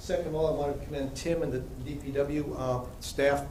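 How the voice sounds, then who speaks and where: Noticeable background noise and audible room echo surround a man with a fairly high pitch and monotone, flat intonation. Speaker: resident speaking at public comment. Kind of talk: public comment at council meeting. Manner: fast.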